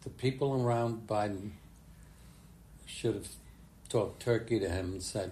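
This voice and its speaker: A man with an American accent speaks at a moderate pace in a somewhat breathy, dark and mellow voice of fairly low pitch, using fairly even intonation and long, frequent pauses, with audible room echo. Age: 90s. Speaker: retired politician. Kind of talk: casual chat. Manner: halting.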